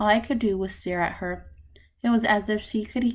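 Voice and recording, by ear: The delivery uses a natural voice. Words are being read aloud.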